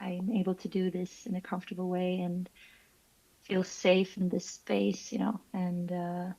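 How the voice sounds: Her pitch is fairly low, and her tone is dark and mellow with vocal fry. The woman speaks at a fairly slow pace with monotone, flat intonation.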